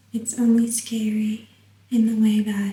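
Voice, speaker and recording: This speaker is soft-spoken. The delivery is very slow. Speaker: YouTuber. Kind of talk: casual monologue to camera.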